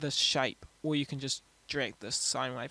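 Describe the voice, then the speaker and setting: Music plays in the background as a man speaks with a New Zealand accent. His pace is very slow. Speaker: music producer. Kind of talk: software tutorial narration. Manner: casual, hesitant.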